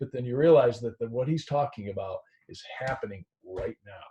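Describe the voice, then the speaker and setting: A dark, mellow, somewhat breathy voice. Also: man. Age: 50s. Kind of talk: casual discussion. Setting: video call.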